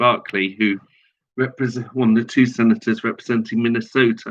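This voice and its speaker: Fairly quick speech from a man with a British accent, medium in pitch. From Britain. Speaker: online political commentator. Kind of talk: promotional announcement. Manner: halting.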